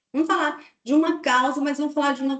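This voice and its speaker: This is a woman talking. The rise and fall of her pitch is ordinary. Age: 60s. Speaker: occupational health consultant and speaker. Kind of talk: webinar talk answering host questions. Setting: online webinar.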